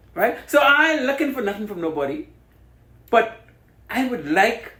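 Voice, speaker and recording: A man with a Bahamian accent speaks in a raised, projected voice at an extremely high pitch, swinging very widely in pitch. Audible room echo and noticeable background noise fill the recording. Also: moderate pace. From Bahamas. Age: 60s. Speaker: radio host. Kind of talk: radio interview. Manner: passionate.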